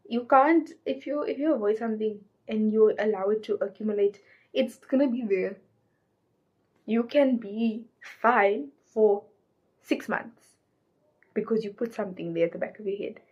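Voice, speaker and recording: A woman's fairly high voice at a moderate pace, with ordinary pitch variation and long, frequent pauses. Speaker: lifestyle vlogger. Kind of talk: casual chat. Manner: loud.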